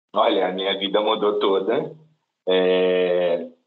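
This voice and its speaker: A man's voice carries audible room echo. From interior of São Paulo state, Brazil. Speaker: corporate trainee. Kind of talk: interview. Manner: halting, many fillers.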